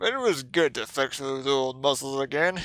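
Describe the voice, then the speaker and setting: A put-on character voice on a very clean recording with a silent background. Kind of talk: read story. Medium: role play.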